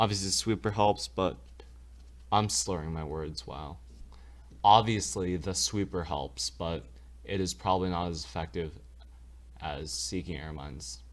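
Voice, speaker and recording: A man with a very deep, low pitch and vocal fry uses lively intonation, leaving long, frequent pauses. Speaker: gaming youtuber. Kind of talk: tutorial. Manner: fast; casual, with filler words.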